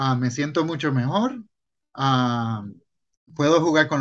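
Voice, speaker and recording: Fairly slow speech from a man, the background quiet. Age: 40s. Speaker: podcast co-host. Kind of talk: casual chat.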